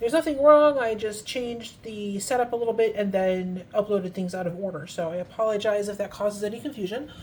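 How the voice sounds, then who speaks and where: A woman talks at a very fast pace with hardly any pauses. Her voice is somewhat breathy, medium in pitch, with ordinary pitch variation. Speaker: fountain pen ink reviewer. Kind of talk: casual product review tutorial. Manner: soft-spoken.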